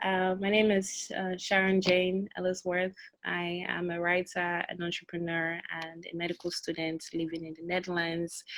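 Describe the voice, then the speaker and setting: A woman with a fairly low pitch speaks at a moderate pace in a monotone, flat intonation. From Belgium, of Nigerian Edo descent. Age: 20s. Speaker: author. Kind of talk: interview. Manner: hesitant with fillers.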